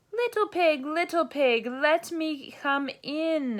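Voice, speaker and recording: A woman's put-on character voice, extremely high-pitched, at a fairly slow pace. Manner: growling, hungry.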